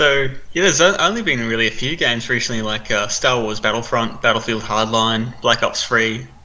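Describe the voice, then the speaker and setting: With an Australian accent, a man talks at a fairly quick pace and keeps his intonation fairly even. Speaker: gaming news presenter. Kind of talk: casual chat.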